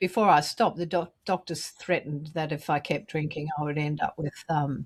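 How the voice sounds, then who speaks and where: This woman has an Australian accent and a very deep, low pitch. Her somewhat breathy voice sounds dry and close, with no echo. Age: 70s. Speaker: recovering alcoholic, memoir author. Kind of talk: interview, personal testimony. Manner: animated.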